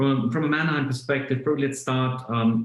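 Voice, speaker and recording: This man speaks with a German accent. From Germany. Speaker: automotive business executive. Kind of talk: podcast interview. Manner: hesitant, many fillers and repeats.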